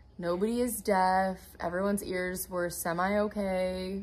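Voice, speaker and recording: The woman's voice is somewhat breathy. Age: 20s. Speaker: podcast host and TikTok creator. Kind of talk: casual chat.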